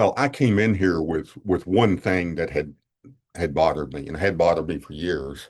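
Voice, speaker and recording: A man talks at a moderate pace in a very deep, low voice. His intonation is lively. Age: 70s. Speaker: retired police officer and Vietnam veteran. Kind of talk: podcast interview, personal testimony. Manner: halting, many repeated words and fillers.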